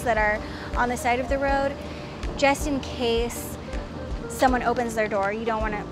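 Over noticeable background noise, a woman speaks in a high pitch with fairly even intonation, the sound dry with no echo. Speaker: cycling vlogger. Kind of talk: casual vlog tutorial. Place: street. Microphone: lapel.

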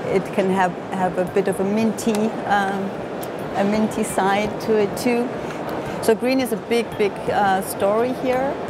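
Loud background noise surrounds a woman speaking at a fairly slow pace. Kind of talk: interview answer. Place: hall.

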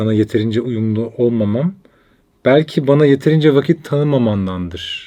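Here a man speaks at a moderate pace and medium pitch. His pitch variation is ordinary. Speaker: podcast co-host. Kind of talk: casual chat. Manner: intellectual, weighty delivery.

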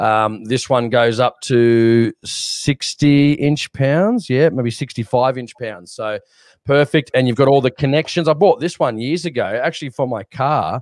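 A man with an Australian accent speaks at a fairly slow pace. The sound is dry with no echo, and his pitch varies in an ordinary way. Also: medium pitch for a man, quiet background. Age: 30s. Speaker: shooting podcast co-host. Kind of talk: casual chat. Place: home room. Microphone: studio mic.

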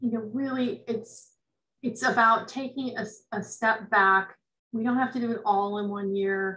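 With an American accent, a woman speaks at a fairly slow pace in a bright, sharp tone, her fairly high pitch held in fairly even intonation. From US West Coast, rural Northern California. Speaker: forestry extension advisor. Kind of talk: lecture. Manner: halting. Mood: thoughtful, calm. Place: home room. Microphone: webcam.

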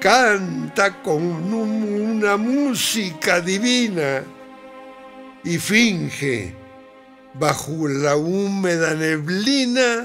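A man's high-pitched voice at a very slow pace, with faint music in the background. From northern Mexico, La Laguna region. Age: 80s+. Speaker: poetry reciter. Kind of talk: poetry reading. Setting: studio. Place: studio.

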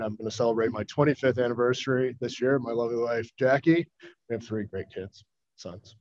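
With an American accent, a man speaks at a fairly quick pace with fairly even intonation. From US Midwest, Chicago suburbs; Illinois. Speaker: investment fund manager. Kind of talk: formal hearing testimony. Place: meeting room. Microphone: podium.

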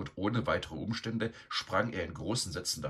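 Intonation remains fairly even. The delivery is an unforced reading voice.

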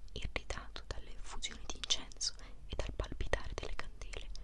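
Whispering at a fairly quick pace, a woman gets her words out. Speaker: ASMR creator. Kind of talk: ASMR book reading, whispered to help sleep. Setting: close microphone, mouth sounds. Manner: whispered, soft-spoken. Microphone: studio mic.

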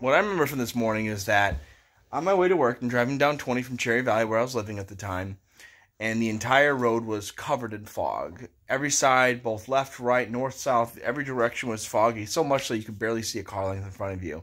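Against a quiet background, a man talks at a very fast pace with ordinary pitch variation. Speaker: teacher. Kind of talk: casual check-in talk to students. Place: home room. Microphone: phone near.

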